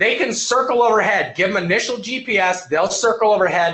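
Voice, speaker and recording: A man talks loudly at a high pitch with ordinary pitch variation. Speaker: EMS instructor. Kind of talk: online lecture to live class. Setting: live webinar at computer. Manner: fast.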